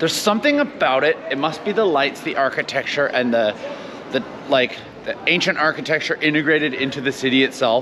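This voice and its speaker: A fairly quick-paced man with noticeable background noise. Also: ordinary pitch variation. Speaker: travel vlogger. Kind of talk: casual vlog chat. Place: street. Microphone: lapel.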